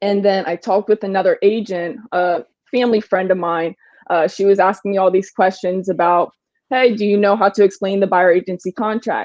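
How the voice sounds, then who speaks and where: A woman with an unremarkable speaking voice, medium pitch, fairly even intonation and a fairly quick pace. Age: 20s. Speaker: real estate agent. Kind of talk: interview answer.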